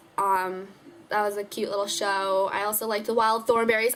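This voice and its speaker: Noticeable background noise behind a female speaker at medium pitch. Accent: American. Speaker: beauty vlogger. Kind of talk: casual vlog. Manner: fast.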